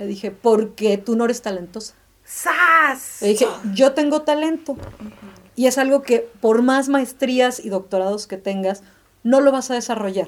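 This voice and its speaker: Pitch varies in an ordinary way while the speaking pace stays fairly slow. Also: woman, high pitch for a woman. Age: 30s. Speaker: graphic designer. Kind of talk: casual chat.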